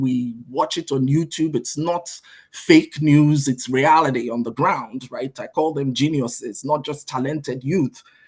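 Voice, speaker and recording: Against a quiet background, a somewhat breathy man talks at a fairly slow pace in a fairly high pitch with ordinary pitch variation. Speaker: conference speaker, business coach and CEO. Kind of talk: conference presentation with slides. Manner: hesitant, many fillers.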